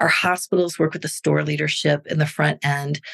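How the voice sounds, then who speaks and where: Speaking at a moderate pace, a woman talks with a Midwestern US accent. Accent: US Midwest. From Missouri, near St. Louis. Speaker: nonprofit fundraising executive. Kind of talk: interview conversation.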